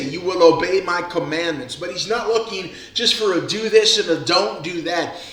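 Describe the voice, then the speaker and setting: The speech comes in an animated tone with lively intonation, set against audible room echo and noticeable background noise. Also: man. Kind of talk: devotional message. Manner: fast.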